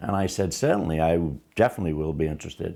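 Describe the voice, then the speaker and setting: A man with a dark, mellow tone. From Liverpool, England. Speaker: first-time actor. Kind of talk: interview testimony.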